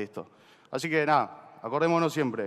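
Against a quiet background, a man with an Argentine accent talks in a fairly high pitch. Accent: Rioplatense Argentine Spanish. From Argentina. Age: 20s. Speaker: startup co-founder; speaker. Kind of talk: motivational talk. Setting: stage with audience. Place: stage.

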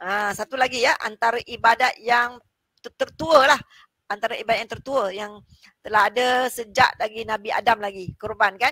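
A bright, sharp tone at a moderate pace, with ordinary pitch variation, big swings in loudness, and a dry sound with no echo over a quiet background. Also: woman. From Malaysia. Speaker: lecturer and live talk show host; lecturer, live talk show host. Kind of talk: live talk show. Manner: chatty, with frequent fillers. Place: office.

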